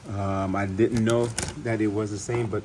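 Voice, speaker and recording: A man talks at a moderate pace in a fairly low voice with fairly even intonation. Noticeable background noise runs underneath. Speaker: DIY car repair youtuber. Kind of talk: tutorial. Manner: mumbling; casual, halting.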